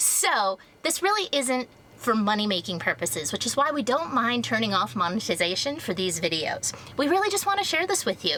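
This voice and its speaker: At a fairly quick pace, a woman with a fairly high pitch swings very widely in pitch while keeping her loudness very even, over noticeable background noise. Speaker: travel vlogger. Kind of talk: travel vlog narration.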